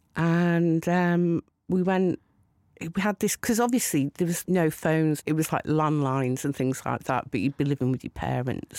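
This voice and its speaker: The voice moves at a fairly slow pace with ordinary pitch variation, captured in a dry, close sound with no echo. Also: woman. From Lancashire, northern England. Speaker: TV producer and DJ. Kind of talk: casual chat. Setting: studio.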